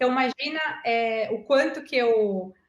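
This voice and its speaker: A woman is speaking. Her pitch is fairly high. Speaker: agile and digital transformation specialist. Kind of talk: online talk answering audience questions. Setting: online video meeting. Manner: animated.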